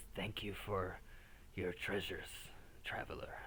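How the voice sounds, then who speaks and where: Whispering in a put-on character voice, a man speaks at a moderate pace over clear background noise. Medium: actual play. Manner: formal, slightly archaic, playful.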